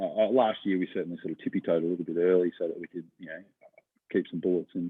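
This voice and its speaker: A man with an Australian accent at a very fast pace, full of big swings in loudness. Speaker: professional greyhound punter. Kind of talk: casual interview. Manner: hesitant, many fillers.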